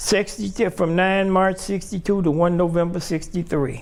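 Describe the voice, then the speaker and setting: A man speaks at a high pitch with fairly even intonation over noticeable background noise. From Chicago, South Side. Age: 70s. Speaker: Air Force veteran. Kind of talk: interview. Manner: halting.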